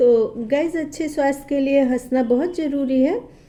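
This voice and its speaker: Her pitch sits high for a woman. The woman's pitch varies an ordinary amount. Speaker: advocate. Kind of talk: casual biographical narration to camera.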